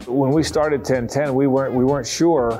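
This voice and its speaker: A man with an American accent talks at a very fast pace. Faint music plays in the background. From Jacksonville, Florida. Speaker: sports radio host and football play-by-play broadcaster. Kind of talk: casual reminiscing interview answer. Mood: warm, nostalgic. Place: studio. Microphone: lapel.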